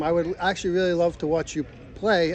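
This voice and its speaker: A man's high-pitched voice at a moderate pace. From Rhode Island. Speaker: sports card collector, interviewer. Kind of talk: interview.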